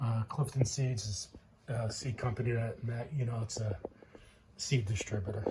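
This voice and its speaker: A man mumbles his words. His intonation stays fairly even. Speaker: home gardener, channel owner. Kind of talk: casual show-and-tell vlog. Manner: mumbling, hesitant with fillers.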